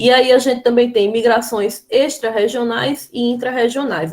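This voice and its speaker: A woman speaks with a Brazilian accent. Her pace is fairly slow. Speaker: schoolteacher. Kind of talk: lecture.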